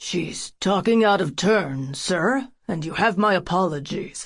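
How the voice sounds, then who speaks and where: In a put-on character voice, a woman booms and growls at a medium pitch and a fairly slow pace. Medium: read story. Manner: stern, clipped.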